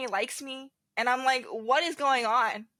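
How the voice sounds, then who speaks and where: Here a woman speaks at a high pitch. Her tone is bright and sharp. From US, moved from South Korea as a child. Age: 20s. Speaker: podcast guest. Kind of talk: personal testimony. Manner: casual, filler-heavy.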